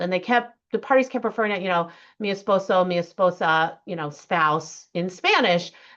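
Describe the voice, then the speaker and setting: A woman's medium-pitched voice, bright and sharp in tone, against a quiet background. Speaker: judge. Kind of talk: lecture. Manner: fast.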